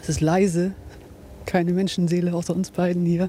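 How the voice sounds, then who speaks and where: A woman speaks at a moderate pace and a fairly low pitch. Her tone is dark and mellow, and somewhat breathy. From Bremerhaven, northern Germany. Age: 30s. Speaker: football fan. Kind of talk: casual chat. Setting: outdoors by and inside a stadium.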